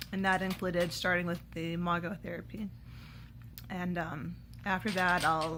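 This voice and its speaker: At a fairly slow pace, a woman with a fairly low voice speaks in a bright, sharp tone marked by vocal fry. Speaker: vlogger sharing dental treatment experience. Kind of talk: personal testimony vlog. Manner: halting, many fillers.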